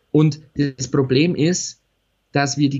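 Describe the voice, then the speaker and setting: A man with a fairly high pitch speaks in a somewhat breathy voice. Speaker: podcast co-host. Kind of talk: casual chat. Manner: animated, laughing often.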